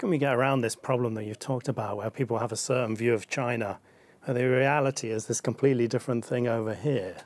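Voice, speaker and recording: A man talks at a very fast pace in a medium pitch. His intonation stays fairly even over noticeable background noise. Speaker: interviewer and show host. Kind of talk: interview.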